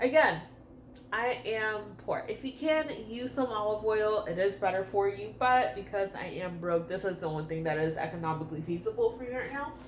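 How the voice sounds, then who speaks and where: Moderately paced female speech with huge pitch swings, noticeable noise in the background. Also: medium pitch for a woman. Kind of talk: casual cooking tutorial to camera. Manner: casual, chatty.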